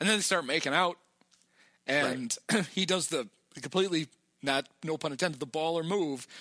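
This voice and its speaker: Very clean, with a silent background and a dry, close sound with no echo, the recording captures a man with a fairly high pitch and a bright, sharp tone speaking at a moderate pace with ordinary pitch variation. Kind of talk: casual podcast chat, movie recap.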